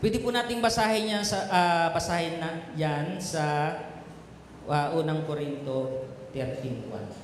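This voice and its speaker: A man with a fairly high voice talks at a fairly slow pace with lively intonation. Audible room echo and noticeable background noise surround his speech. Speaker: pastor. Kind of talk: sermon. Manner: loud; animated.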